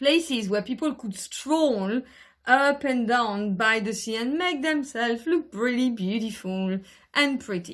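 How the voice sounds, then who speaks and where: A woman speaks with a French accent in a fairly high voice. Her tone is animated. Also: lively intonation, fairly slow pace. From France (Brittany region). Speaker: travel vlogger. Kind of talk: casual monologue to camera. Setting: at home in bedroom. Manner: animated, many fillers.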